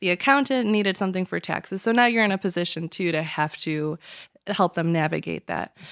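A woman with a Chicago accent at a medium pitch, fairly quick in pace, in a dry, close recording with no echo, very clean against a silent background. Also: ordinary pitch variation. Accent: Chicago American English. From Chicago area, US. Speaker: lawyer. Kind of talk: casual interview chat. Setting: studio.

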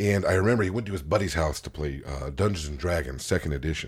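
A man speaks very fast in a very deep, low voice with vocal fry. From California. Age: 40s. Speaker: podcast host, guest. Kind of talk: casual chat. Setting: basement home studio.

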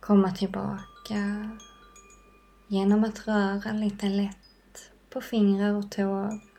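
A woman's somewhat breathy, calm, soothing voice at medium pitch, in a monotone, flat intonation at a very slow pace. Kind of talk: guided meditation. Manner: slow, soft-spoken, calm and soothing with long pauses; gentle, warm and inviting, unhurried.

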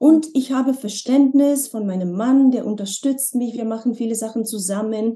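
Somewhat breathy and fairly high in pitch, a woman speaks with a dark, mellow tone. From Slovenia. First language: Slovenian (speaking German). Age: 40s. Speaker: former model and language teacher. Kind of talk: interview conversation. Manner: hesitant, with many fillers.

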